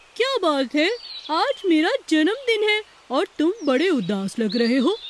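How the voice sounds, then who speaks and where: This cartoonish character voice sits at an extremely high pitch, making very wide pitch swings at a moderate pace. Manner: warm, friendly.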